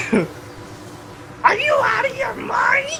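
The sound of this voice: At an extremely high pitch, someone performs a put-on character voice.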